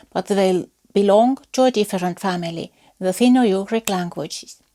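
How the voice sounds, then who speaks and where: A woman with an Estonian accent speaks at a medium pitch in a dark, mellow tone. The recording is very clean and dry, close with no echo and a silent background. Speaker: folklore researcher. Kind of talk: lecture. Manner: formal.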